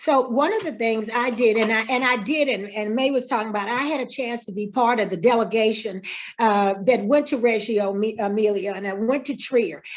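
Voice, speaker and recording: With a plain, everyday voice, a woman speaks fairly quickly and fairly high, with ordinary pitch variation and hardly any pauses. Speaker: mayoral candidate. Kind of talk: candidate Q&A.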